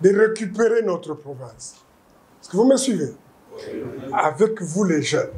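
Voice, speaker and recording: Speaking at a fairly slow pace, a man uses a high-pitched voice with lively intonation. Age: 70s. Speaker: politician. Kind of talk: political speech. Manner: emphatic, repetitive.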